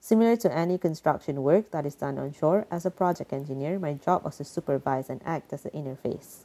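Pitched very deep and low, a woman speaks in a dark, mellow tone with ordinary pitch variation. She keeps a fairly quick pace with hardly any pauses. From Malaysia. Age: 20s. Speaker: environmental advisor, storyteller. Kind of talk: personal storytelling.

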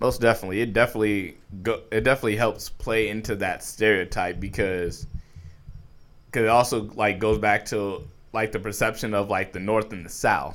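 With an American accent, a man in a plain, everyday voice talks at a fairly quick pace, a fairly low pitch and fairly even intonation. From New York. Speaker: artist. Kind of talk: casual chat.

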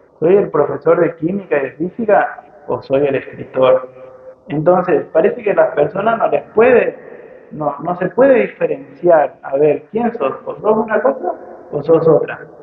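Over noticeable background noise, a man speaks at a fairly slow pace with a high pitch and lively intonation. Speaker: physics teacher and writer. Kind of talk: public talk at a book fair. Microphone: poor audio quality, interference from PA microphone.

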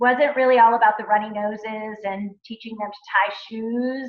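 A woman speaks in a normal speaking voice with an American accent. Her pitch is fairly high and her intonation fairly even. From Montana. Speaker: entrepreneur and former educator. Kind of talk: interview / talk to a youth group.

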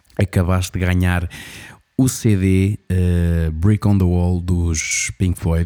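A man with a European Portuguese accent speaks at a very slow pace in a very deep, low voice. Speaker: radio show host. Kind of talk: casual interview and show hosting. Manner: animated.

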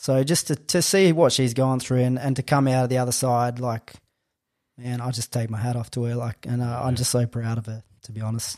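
A man with an Australian accent, medium pitch, fairly even intonation and a fairly quick pace, in a very clean, dry, close recording with no echo and a silent background. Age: 30s. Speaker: strength coach and personal trainer. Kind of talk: casual interview chat.

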